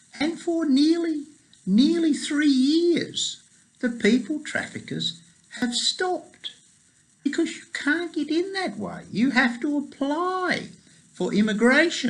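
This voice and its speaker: An extremely high-pitched man with an Australian accent, very slow pace and lively intonation. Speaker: pro-life activist and lobbyist. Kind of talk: casual video report. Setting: New York, at the UN. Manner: conversational.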